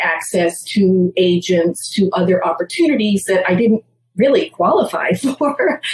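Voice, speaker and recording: A woman speaks with an American accent. Her voice is somewhat breathy, with ordinary pitch variation. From Massachusetts, US. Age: 60s. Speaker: theater producer. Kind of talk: interview.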